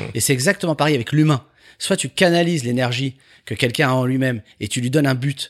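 Very fast speech with ordinary pitch variation, dry and close with no echo, in a very clean recording with a silent background. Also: man, medium pitch for a man. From Paris, France. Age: 50s. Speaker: entrepreneur. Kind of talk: interview.

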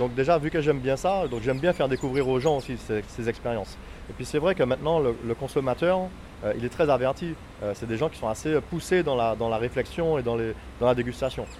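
Here a man talks at a fairly quick pace. His medium pitch shows ordinary variation. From Martinique. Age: 40s. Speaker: rum distillery owner. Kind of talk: interview. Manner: halting, many hesitations.

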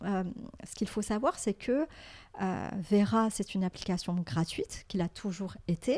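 A woman's somewhat breathy, medium-pitched voice at a moderate pace, in a very clean recording with a silent background. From Morocco. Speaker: tech startup founder. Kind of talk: interview. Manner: hesitant, many fillers and repetitions.

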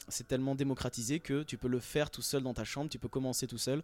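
Over a silent background, a very clean recording captures fairly quick speech. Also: man. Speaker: rapper. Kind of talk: casual radio interview. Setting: backstage at concert venue.

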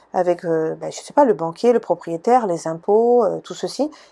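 Lively intonation rides on a dark, mellow tone. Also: woman. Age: 40s. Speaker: podcast host, personal development coach. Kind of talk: solo podcast monologue. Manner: hesitant, many fillers.

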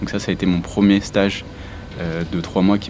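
The speech moves at a moderate pace in a monotone, flat intonation over noticeable background noise. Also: man. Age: 20s. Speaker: aerospace propulsion engineer. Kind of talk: interview testimony.

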